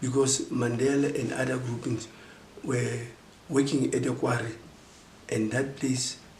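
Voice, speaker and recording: A man's medium-pitched, monotone, flat speech at a fairly slow pace with long, frequent pauses, against noticeable background noise. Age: 60s. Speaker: former political prisoner. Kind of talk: interview answer.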